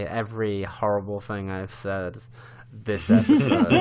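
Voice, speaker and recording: Over noticeable background noise, a man speaks at a fairly slow pace with a fairly low pitch. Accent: Norfolk. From England, Norfolk. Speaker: podcast co-host and Twitch streamer, guest. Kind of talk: casual chat.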